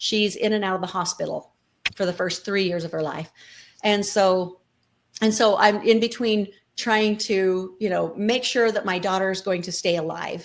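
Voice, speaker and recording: A woman speaks at a moderate pace and medium pitch, her intonation fairly even. Hers is an ordinary speaking voice. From Colorado City, Arizona-Utah border. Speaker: nonprofit co-founder, former FLDS member. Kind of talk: interview answer.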